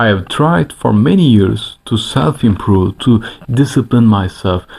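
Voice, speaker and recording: A fairly low-pitched man with a non-native accent, fairly slow, with ordinary pitch variation. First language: not English. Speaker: self-improvement YouTuber. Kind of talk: motivational vlog monologue. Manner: animated, emphatic; halting with self-corrections.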